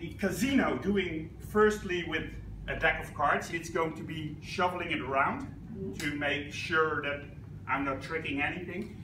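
A man speaks fairly slowly, with noticeable noise in the background. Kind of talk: casual explanation to a group. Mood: playful, entertaining. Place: classroom.

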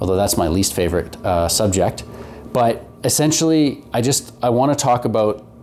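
An ordinary speaking voice from a man at a moderate pace, over light background noise. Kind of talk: casual explanatory vlog talk. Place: garage.

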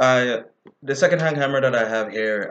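Light background noise accompanies a man speaking at a moderate pace with ordinary pitch variation. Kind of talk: casual vlog chat. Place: home room. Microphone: webcam.

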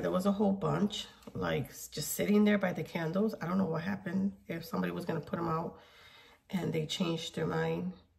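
A woman talks at a fairly quick pace in an animated tone. Noticeable background noise runs behind her. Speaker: video creator doing a shopping haul. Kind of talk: casual chat. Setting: in a store, filming. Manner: animated, chatty.

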